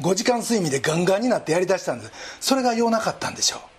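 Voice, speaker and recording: There's a man talking. The audio carries noticeable background noise. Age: 60s. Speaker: pastor. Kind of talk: sermon.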